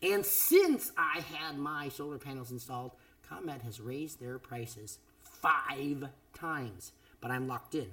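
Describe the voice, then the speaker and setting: A man speaks fairly slowly at a fairly high pitch with ordinary pitch variation. His loudness swings a lot, and background noise is noticeable. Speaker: podcast host, former radio DJ. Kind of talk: casual chat. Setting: home studio.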